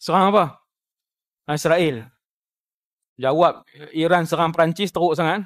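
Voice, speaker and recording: A man's high-pitched voice at a fairly slow pace, fairly even in intonation, with a dry, close sound and no echo. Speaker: Islamic preacher (ustaz). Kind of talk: religious lecture (ceramah).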